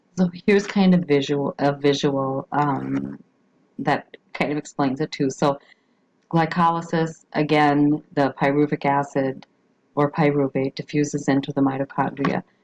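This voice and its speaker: A woman's very deep, low voice at a fairly slow pace with fairly even intonation, dry and close with no echo. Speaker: biology teacher. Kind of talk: recorded lecture. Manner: halting, many fillers.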